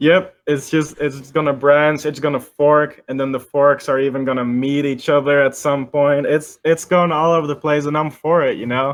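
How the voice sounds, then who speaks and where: The speech moves at a moderate pace with hardly any pauses and a monotone, flat intonation. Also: man, fairly high pitch for a man. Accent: slight Dutch-American. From Netherlands, near Amsterdam. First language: Dutch. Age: 20s. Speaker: music producer. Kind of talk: casual interview chat.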